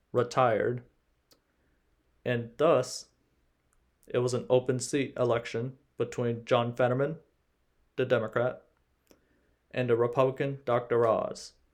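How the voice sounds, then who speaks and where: Fairly slowly and with long, frequent pauses, a man of medium pitch talks in a monotone, flat intonation. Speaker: political commentary youtuber. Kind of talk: vlog commentary.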